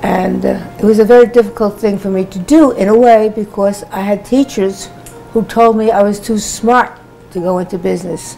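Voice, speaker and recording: A woman with an American accent speaks at a moderate pace with a medium pitch and ordinary pitch variation over noticeable background noise. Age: 80s+. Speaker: professor. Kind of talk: interview testimony.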